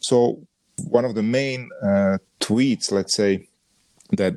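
In a Croatian accent, a man speaks at a fairly slow pace with ordinary pitch variation. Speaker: podcast co-host, sports brand designer. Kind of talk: casual chat. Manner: halting, with frequent fillers.

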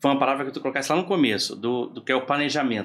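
A man talks at a very fast pace. The recording is very clean, the background silent. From Porto Alegre, southern Brazil. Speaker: project manager and consultant. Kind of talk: casual chat. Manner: halting, repeats words.

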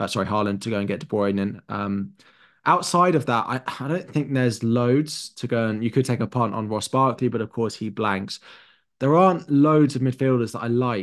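Against a quiet background, a man with a London accent talks at a moderate pace and medium pitch, with ordinary pitch variation. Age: 20s. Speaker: fantasy football pundit. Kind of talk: casual chat. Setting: video call.

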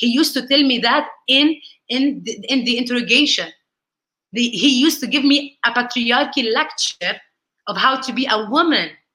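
With an Arabic accent, a woman speaks in a raised, projected voice with high pitch, ordinary pitch variation, and a bright, sharp tone. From Palestine, raised across several countries. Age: 30s. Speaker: lawyer and political activist. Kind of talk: interview.

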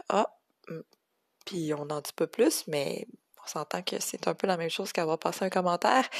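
At a fairly slow pace, a woman talks with a Quebec accent. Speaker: cello teacher. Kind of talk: solo podcast reflection. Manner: hesitant, many fillers.

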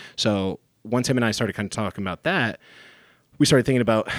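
A man talks very fast in a fairly low voice with an American accent and ordinary pitch variation. The sound is dry and close with no echo, on a very clean recording with a silent background. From Michigan, US. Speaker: strength coach and gym owner. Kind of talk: casual interview. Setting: studio.

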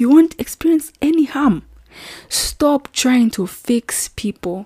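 A woman's high-pitched voice with a dark, mellow tone, very slow with long, frequent pauses, in a dry, close sound with no echo. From Zambia. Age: 20s. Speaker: YouTuber and medical student. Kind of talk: solo podcast monologue. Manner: casual, frequent fillers and laughs.

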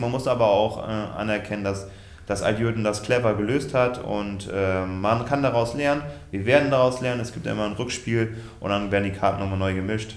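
Amid noticeable background noise and audible room echo, a man talks at a fairly quick pace and fairly low pitch with fairly even intonation. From Westfalen, Germany. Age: 30s. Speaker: handball goalkeeper. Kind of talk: casual interview.

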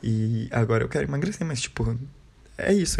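A man's somewhat breathy voice carries a dark, mellow tone. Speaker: podcaster. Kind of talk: casual monologue.

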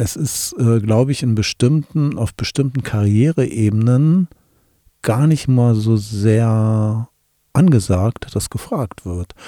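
Medium pitch from a man in a dark, mellow tone, at a very slow pace with ordinary pitch variation, the sound dry and close with no echo. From Wolfsburg, Lower Saxony, Germany. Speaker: communication expert and podcast co-host. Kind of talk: casual chat.

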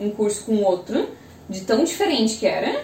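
A woman's fairly high voice with very wide pitch swings, audible room echo and noticeable background noise. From Brazil, Joinville (Santa Catarina). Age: 20s. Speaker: civil engineer. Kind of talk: casual interview chat.

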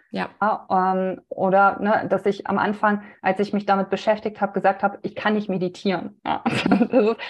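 Her intonation stays monotone and flat. The woman's medium-pitched voice keeps a moderate pace. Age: 30s. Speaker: women's health coach. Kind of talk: casual interview conversation.

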